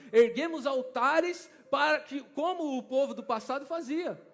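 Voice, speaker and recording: An animated man with a São Paulo accent speaks at an extremely high pitch. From Brazil, São Paulo. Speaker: preacher. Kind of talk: sermon. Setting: church conference stage with audience.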